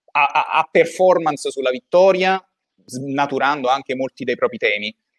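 Fairly slow speech from a man, set against a quiet background. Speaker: podcast co-host. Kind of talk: casual interview. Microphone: video call.

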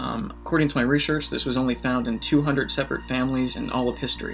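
Faint music plays in the background. Over it, a man talks at a very fast pace. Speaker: YouTube host. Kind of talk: explainer vlog commentary. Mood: casual, lightly humorous. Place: home room.

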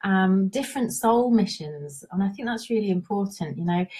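A woman speaks at a fairly quick pace in a dark, mellow, somewhat breathy tone with ordinary pitch variation. Her background is quiet. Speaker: intuitive guidance coach. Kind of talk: live stream talk. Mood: warm and cheerful. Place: home room. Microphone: headset.

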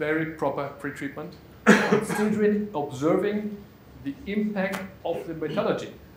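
With a German accent, a man speaks at a moderate pace and ordinary pitch variation, amid audible room echo and light background noise. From Germany. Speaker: conference speaker, pretreatment specialist; conference speaker. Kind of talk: conference presentation. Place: meeting room.

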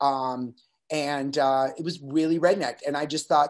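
A man talks with normal rises and falls in pitch against a quiet backdrop. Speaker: podcast guest. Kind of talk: interview answer. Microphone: webcam.

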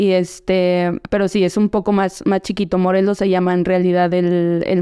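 A woman speaks at a moderate pace in a dark, mellow tone and medium pitch, with fairly even intonation against a quiet background. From central Mexico, State of Mexico. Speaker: professional footballer; podcast guest. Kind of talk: casual interview. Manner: hesitant, many fillers and repetitions. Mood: relaxed, reflective. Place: studio. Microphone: studio mic.

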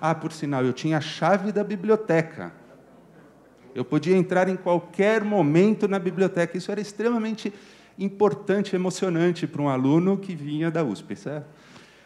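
Pitched high, a man talks with ordinary pitch variation. His pace is moderate. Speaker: physics professor. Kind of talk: testimony. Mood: warm, anecdotal, with some humor. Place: classroom. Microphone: handheld.

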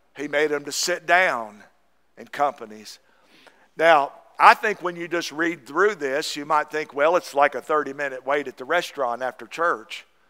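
A man with an American accent speaks at a moderate pace in a fairly high pitch, his tone bright and sharp. His pitch varies in an ordinary way while his loudness swings widely, over a quiet background. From US South, East Tennessee. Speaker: Baptist pastor. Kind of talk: Sunday morning sermon, exhorting congregation on tithing and giving. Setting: church service with congregation. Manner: fervent, punctuating with repeated amens; folksy, repetitive with verbal fillers. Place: church.

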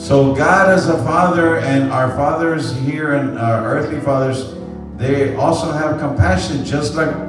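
Clear music plays in the background as a man speaks at a fairly slow pace with ordinary pitch variation, his voice carrying audible room echo. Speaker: pastor. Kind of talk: sermon. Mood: warm, celebratory. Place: church.

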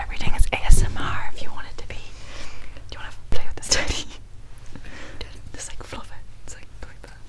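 A woman whispering at a very fast pace, with big swings in loudness and long, frequent pauses. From Ireland. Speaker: YouTuber. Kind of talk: casual talk to camera. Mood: giggly, playful. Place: home room. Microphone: lapel.

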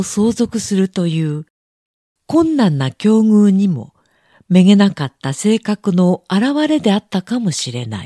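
A woman speaks very slowly at a medium pitch, her dark, mellow tone swinging very widely in pitch. The recording is very clean with a silent background, dry and close with no echo. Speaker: audiobook narrator. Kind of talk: reading aloud.

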